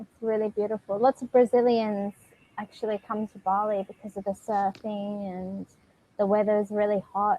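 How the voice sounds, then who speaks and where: A woman's medium-pitched voice with an Australian accent, dark and mellow in tone, flat and monotone in intonation, at a moderate pace, with big swings in loudness and a dry, close sound with no echo. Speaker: online English tutor. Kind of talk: casual conversation lesson.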